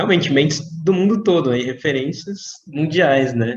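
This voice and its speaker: A man speaks with a Brazilian accent. His pitch varies in an ordinary way. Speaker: doctor and interview host. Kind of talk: interview.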